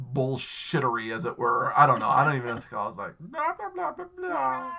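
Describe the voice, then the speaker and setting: Talking very fast with an American accent, a man swings widely in loudness over noticeable background noise. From New York (Western New York). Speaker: podcast host and Twitch streamer. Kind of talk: casual chat.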